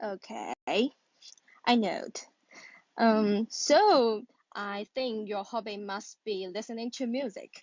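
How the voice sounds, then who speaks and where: A woman with a Chinese accent speaks at a very slow pace in a fairly high pitch, with fairly even intonation and long, frequent pauses. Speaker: caller practising English. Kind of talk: casual conversation practice. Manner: hesitant.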